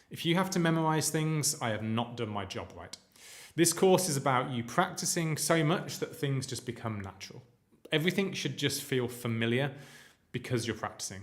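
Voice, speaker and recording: A man with a British accent speaks at a moderate pace, his pitch fairly high and his intonation lively. His voice is somewhat breathy, with audible room echo. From UK. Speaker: coding instructor. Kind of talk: live-streamed lecture. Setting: live stream. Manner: casual, filler-heavy.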